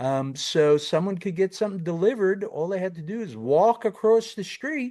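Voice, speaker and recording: Over a quiet background, a man with a slight New York accent speaks at a moderate pace, his high voice carrying lively intonation. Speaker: tax consulting firm founder, podcast co-host. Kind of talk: educational podcast. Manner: casual, many fillers.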